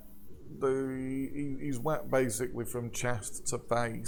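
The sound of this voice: The reading here comes in an unforced voice.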